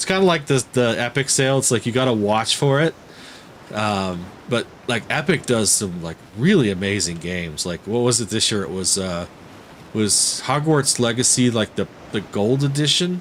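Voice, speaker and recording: At a medium pitch, a man speaks with very wide pitch swings and a moderate pace. Noticeable background noise can be heard. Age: 40s. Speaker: gaming streamer. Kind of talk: live stream gameplay commentary. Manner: casual, halting with fillers.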